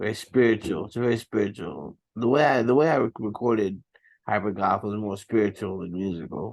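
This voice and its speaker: Fairly low pitch and ordinary pitch variation from a male speaker moving at a fairly quick pace. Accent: New York. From New York. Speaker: rapper. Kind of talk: casual interview.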